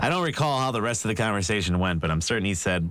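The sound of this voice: The text is read in an unforced reading voice with lively intonation.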